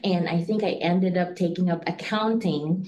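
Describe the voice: A woman talks with ordinary pitch variation. Audible room echo surrounds her voice.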